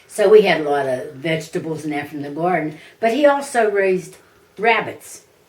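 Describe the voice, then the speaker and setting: A woman's fairly low pitch with very wide pitch swings, big swings in loudness and a fairly quick pace, over noticeable background noise. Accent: American. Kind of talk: interview answer. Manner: casual, conversational.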